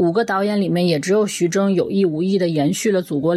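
A woman is speaking. Her pace is very fast. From Zhejiang, China. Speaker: film podcast guest. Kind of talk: prepared film review.

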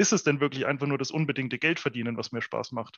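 A man talks with a fairly high pitch that varies in an ordinary way. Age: 30s. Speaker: entrepreneur. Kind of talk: casual chat. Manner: hesitant, many fillers.

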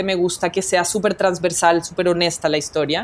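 This woman's words come fairly quickly in a fairly low register. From Colombia. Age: young. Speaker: documentary photographer. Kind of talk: interview. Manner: animated.

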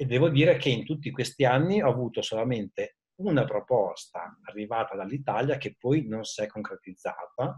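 Somewhat breathy, a man's voice moves at a moderate tempo. His intonation is lively. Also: medium pitch for a man. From Italy, Modena (Emilia). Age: 40s. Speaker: IT manager. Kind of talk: interview.

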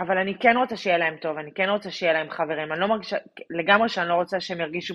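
A woman's normal speaking voice, fairly low in pitch. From Israel. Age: 30s. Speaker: immigrant mother sharing her story. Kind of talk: personal story interview.

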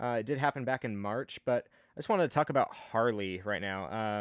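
On a very clean recording with a silent background, dry and close with no echo, a man with a fairly low pitch uses an unremarkable speaking voice at a moderate pace with ordinary pitch variation. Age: 30s. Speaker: motorcycle podcast host. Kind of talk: casual chat.

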